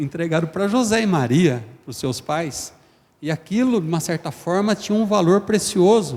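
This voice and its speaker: Lively intonation at a moderate pace from a man with an ordinary speaking voice. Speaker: preacher. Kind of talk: sermon.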